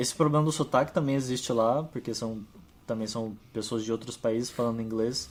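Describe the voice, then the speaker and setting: A man speaks at a medium pitch and a fairly quick pace with ordinary pitch variation. Music plays in the background. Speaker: data scientist. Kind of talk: casual chat.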